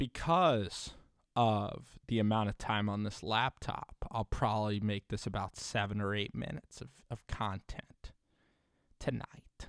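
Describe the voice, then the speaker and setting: In a dry, close sound with no echo, a man with an ordinary speaking voice talks fairly slowly at a fairly low pitch with ordinary pitch variation. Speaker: sports commentary video creator. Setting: home recording on a laptop. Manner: casual, conversational.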